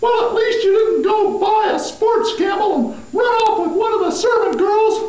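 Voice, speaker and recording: In a cartoonish character voice, a female-sounding speaker talks at a moderate pace with an extremely high pitch, plus a slight echo. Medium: puppet. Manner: sarcastic, complaining.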